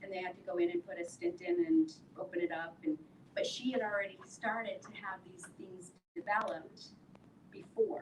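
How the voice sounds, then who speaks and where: A woman of medium pitch speaks in a somewhat breathy voice, with ordinary pitch variation and big swings in loudness. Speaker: women's wellness event host. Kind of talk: health talk to live audience. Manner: slowing down deliberately.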